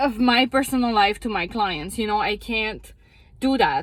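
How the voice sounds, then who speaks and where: This woman's voice sits fairly high, with ordinary pitch variation. Her tone is animated. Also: very clean recording, silent background. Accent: strong French Canadian. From Quebec. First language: French. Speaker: psychotherapist. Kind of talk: casual monologue vlog. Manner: animated, frustrated; halting, self-correcting.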